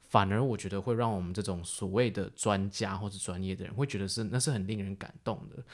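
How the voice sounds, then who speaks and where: On a very clean recording with a silent background, a man talks at a moderate pace with a fairly low pitch. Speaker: podcast co-host and filmmaker. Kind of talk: casual chat.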